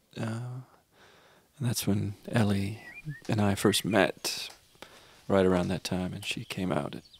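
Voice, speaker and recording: A man's fairly low voice with ordinary pitch variation, at a fairly slow pace broken by long, frequent pauses. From Canada. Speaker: singer-songwriter. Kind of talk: interview storytelling. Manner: halting.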